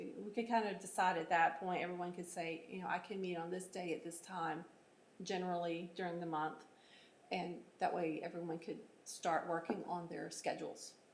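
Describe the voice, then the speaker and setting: A woman with an American accent, fairly low in pitch, monotone and flat, at a moderate pace, with audible room echo. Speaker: city economic development staff running the meeting. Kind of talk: public meeting.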